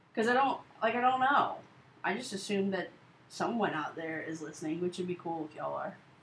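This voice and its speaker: Over noticeable background noise, a woman with a medium-pitched voice talks at a fairly quick pace with lively intonation and big swings in loudness. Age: 20s. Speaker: college radio host. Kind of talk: casual chat. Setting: radio studio. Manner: animated, laughing often.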